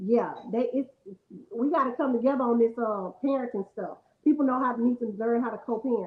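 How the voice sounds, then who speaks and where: A woman speaks loudly at a fairly quick pace. Her high-pitched voice keeps a fairly even intonation. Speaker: podcast co-host. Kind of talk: casual chat.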